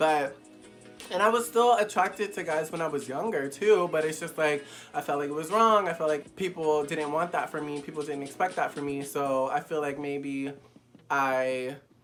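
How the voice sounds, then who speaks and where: Delivered at a moderate pace, the voice carries an animated tone with ordinary pitch variation. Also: man, fairly high pitch for a man. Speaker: YouTuber. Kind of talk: casual candid vlog. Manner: flamboyant.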